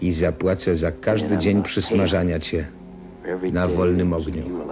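Over clear music in the background, a man with a very deep, low pitch talks at a fairly slow pace with fairly even intonation. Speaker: film voice-over reader. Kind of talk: film voice-over translation. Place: booth.

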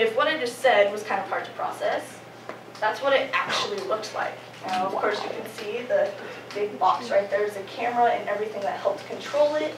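A woman talking at a fairly quick clip over noticeable background noise. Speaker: presenter. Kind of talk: class presentation. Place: classroom. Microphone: camera far.

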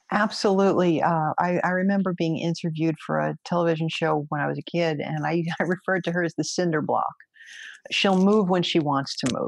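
A woman with a New York accent talks at a fairly quick pace and a fairly low pitch. Her intonation is fairly even, and the sound is dry with no echo over a quiet background. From New York, Brooklyn. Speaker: federal agent and judo instructor; judo instructor. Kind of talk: interview conversation. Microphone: webcam.

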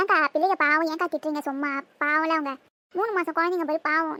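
A woman's put-on character voice, squeaky and extremely high in pitch, at a moderate pace with a dry, close sound and no echo. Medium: cartoon. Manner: gentle, conciliatory.

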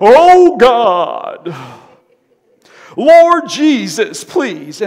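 A man puts on a character voice pitched extremely high. His pitch makes very wide swings. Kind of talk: reverent, prayerful. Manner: tense, pious. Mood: emotional pleading prayer.

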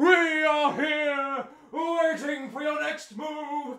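In a put-on character voice, a man talks at a very slow pace with an extremely high pitch. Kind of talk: prayer reading. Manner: solemn, reverent.

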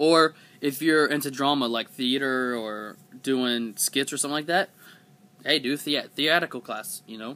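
A man talks at a moderate pace in a fairly high pitch with ordinary pitch variation. His tone is bright and sharp. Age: 20s. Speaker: vlogger; vlogger giving school advice. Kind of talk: casual vlog monologue. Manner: hesitant, many fillers. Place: home room. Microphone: webcam.

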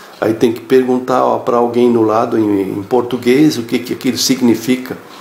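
A man talks at a moderate pace in a monotone, flat delivery. The room echo is audible, and light background noise sits underneath. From Blumenau, Santa Catarina, Brazil. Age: 60s. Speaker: course student giving testimonial. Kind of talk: testimonial. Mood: calm, friendly. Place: home room. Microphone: phone near.

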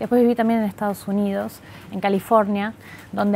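The voice speaks in a flat monotone over light background noise. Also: woman. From Argentina, Buenos Aires (born in Montevideo, moved at seven); Buenos Aires. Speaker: tech company manager, economist; interviewee. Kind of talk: interview. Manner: hesitant, many fillers. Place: office. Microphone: lapel.

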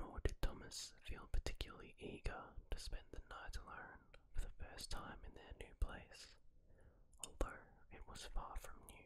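A soft-spoken man whispers at a moderate pace with big swings in loudness, over light background noise. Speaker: story narrator. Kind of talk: story narration. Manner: soft whispered storytelling. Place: home room. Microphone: studio mic.

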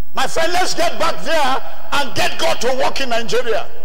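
Over light background noise, a man speaks at a moderate pace with an extremely high pitch. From Nigeria. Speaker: preacher. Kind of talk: sermon. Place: church. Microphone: handheld.

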